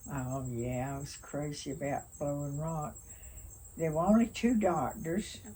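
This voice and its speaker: A woman's very deep, low voice, dark, mellow and somewhat breathy, with lively intonation at a fairly slow pace. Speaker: retired nurse. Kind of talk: interview answer. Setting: outdoors.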